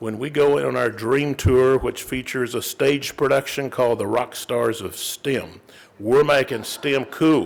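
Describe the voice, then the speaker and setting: A man talks with a Texas accent at a medium pitch. His pace is fairly slow and his intonation fairly even. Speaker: corporate sponsor representative. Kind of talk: introduction speech.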